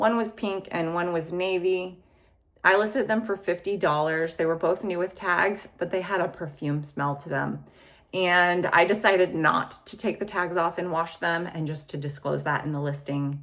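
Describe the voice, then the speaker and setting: A woman speaks in a normal speaking voice at a moderate pace. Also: fairly low pitch for a woman, ordinary pitch variation. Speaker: clothing reseller, video blogger. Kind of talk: casual monologue video.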